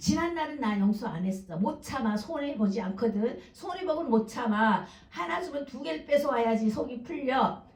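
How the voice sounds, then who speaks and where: Hardly pausing, a woman speaks at a moderate pace and fairly high pitch, her pitch swinging very widely. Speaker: pastor. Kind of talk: sermon.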